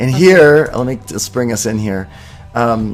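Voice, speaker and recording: Fairly slow delivery with ordinary pitch variation over music in the background. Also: man. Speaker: spiritual livestream host. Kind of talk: live spiritual broadcast chat.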